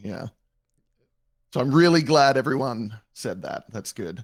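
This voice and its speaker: A man with an American accent, dry and close with no echo. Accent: mild Australian, evened out toward American. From Australia. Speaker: roleplay streamer. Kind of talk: casual chat.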